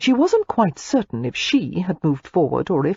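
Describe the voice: The speaker is reading aloud. It is plain reading with nothing added.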